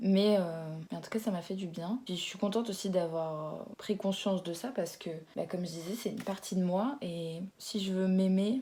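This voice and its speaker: A woman talks at a moderate pace with a somewhat breathy, dark and mellow tone. Her pitch is medium and varies in an ordinary way. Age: 20s. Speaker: YouTuber. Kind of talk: casual vlog chat. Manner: hesitant, with fillers.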